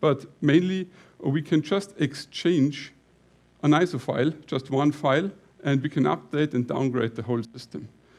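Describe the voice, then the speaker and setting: A man talks at a moderate pace, his fairly high voice showing ordinary pitch variation. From Lower Bavaria, Germany. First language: Bavarian dialect / German. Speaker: company CEO, conference speaker. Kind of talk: conference talk. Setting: stage with audience. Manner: halting, with fillers.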